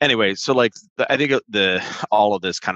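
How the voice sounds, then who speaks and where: Against a quiet background, a man with a Californian accent and a bright, sharp tone speaks at a moderate pace with ordinary pitch variation, recorded dry and close with no echo. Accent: Californian American. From US West Coast, Orange County, California. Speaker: tech startup CEO. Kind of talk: podcast interview.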